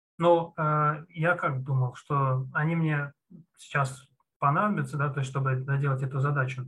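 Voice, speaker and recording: A man's fairly high-pitched, bright, sharp voice at a fairly slow pace with fairly even intonation. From Russia, Moscow region. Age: 30s. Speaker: junior programmer, former CNC machine programmer. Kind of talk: interview. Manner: hesitant, with many fillers.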